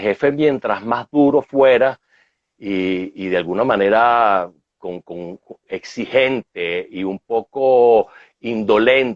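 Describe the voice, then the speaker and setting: Speaking very slowly with a Venezuelan accent, a man keeps a medium pitch and ordinary pitch variation. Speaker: management consultant. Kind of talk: interview.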